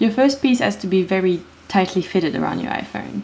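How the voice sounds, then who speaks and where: A woman with a medium-pitched voice talks at a moderate pace with lively intonation over noticeable background noise. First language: not English. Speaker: DIY video maker. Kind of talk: tutorial. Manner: hesitant, many fillers.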